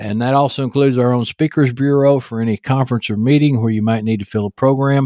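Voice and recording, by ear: A text read aloud in a natural voice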